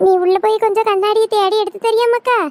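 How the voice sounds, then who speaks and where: A woman talks in a cartoonish character voice. Her pace is moderate. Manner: rambling, muddled.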